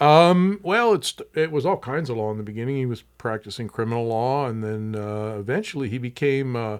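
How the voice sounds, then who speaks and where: A man with an American accent at medium pitch, lively intonation, a fairly quick pace and a very clean recording with a silent background. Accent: doesn't sound Southwestern. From Tucson, Arizona. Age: 60s. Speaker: museum executive director. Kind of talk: podcast interview.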